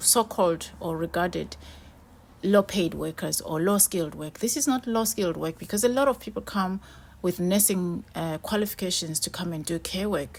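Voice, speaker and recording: Speaking with a non-native accent, a woman keeps a moderate pace. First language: not English. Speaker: vlogger. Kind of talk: casual talk to camera.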